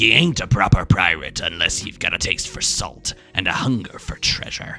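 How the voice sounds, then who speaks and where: Over music in the background, a man in a put-on character voice speaks at a moderate pace with a very deep, low pitch. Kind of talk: swashbuckling pirate.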